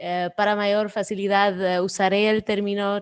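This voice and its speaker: Speaking fairly slowly with a non-native accent, a woman with a medium pitch delivers her words in a monotone, flat intonation. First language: not Spanish (speaking Spanish). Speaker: NGO program director. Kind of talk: presentation. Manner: halting.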